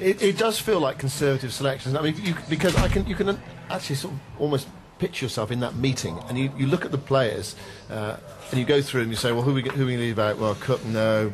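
A man talks very fast in a medium pitch with lively intonation. Noticeable background noise sits behind him. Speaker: cricket radio summariser. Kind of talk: radio commentary, lead presenter steering discussion. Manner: measured, clear, formal, steady pace. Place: booth.

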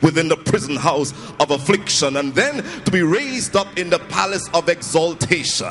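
Light background noise accompanies a man who speaks at a moderate pace. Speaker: preacher. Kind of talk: sermon. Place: hall. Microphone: handheld.

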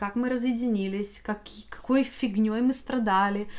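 A woman with a fairly high pitch speaks fairly slowly in a flat monotone. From Ukraine, Vinnytsia. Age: 40s. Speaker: video blogger. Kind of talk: casual vlog monologue. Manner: halting, many fillers.

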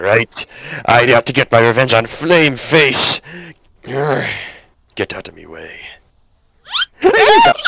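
A raspy, put-on character voice at a fairly slow pace, broken by long, frequent pauses. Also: man, medium pitch for a man. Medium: role play.

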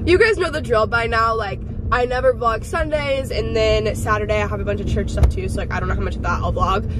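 Very fast, a woman speaks in a dry sound with no echo over noticeable background noise. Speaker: vlogger. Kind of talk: casual vlog chat. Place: car. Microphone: phone near.

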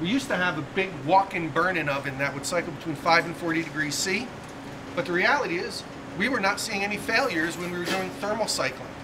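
Against noticeable background noise, a man talks at a fairly quick pace in a high pitch with ordinary pitch variation. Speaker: quality manager tour guide. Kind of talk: factory tour explanation. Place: factory. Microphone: camera far.

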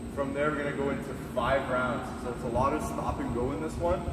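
A man at a fairly quick pace, with audible room echo and loud background noise. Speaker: fitness coach. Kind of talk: workout explanation. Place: gym. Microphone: camera far.

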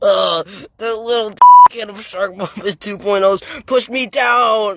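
A man puts on a character voice at a high pitch and a very slow pace. Sound effects play in the background. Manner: polite, folksy, then indignant.

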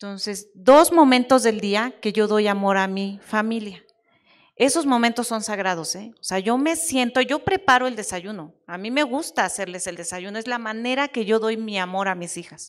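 With an unremarkable speaking voice, a woman talks at a moderate pace and a fairly high pitch, her intonation lively. Her loudness swings widely over a quiet background. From Mexico. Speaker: technology executive; panelist. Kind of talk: panel discussion at a conference. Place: hall.

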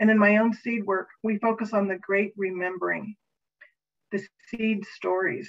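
The voice is monotone with flat intonation and moves at a moderate pace. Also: woman. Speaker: conference host introducing keynote. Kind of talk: speaker introduction. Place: home room.

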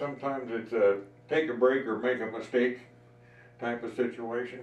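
Speaking at a moderate pace with an American accent, a man's medium-pitched voice carries audible room echo. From Colorado. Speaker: wood carver and gunsmith. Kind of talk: casual chat. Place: workshop. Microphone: camera far.

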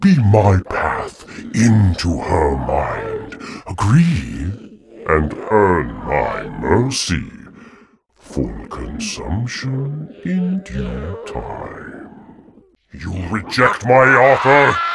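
A man puts on a character voice that is fairly low in pitch. He talks at a very slow pace. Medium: dub. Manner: menacing, grandiose.

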